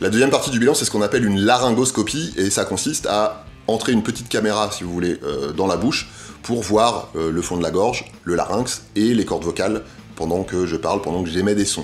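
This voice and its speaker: A man's fairly low voice at a fairly quick pace, ordinary pitch variation, and noticeable background noise. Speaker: health video creator. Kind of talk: explainer vlog. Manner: hesitant, many fillers.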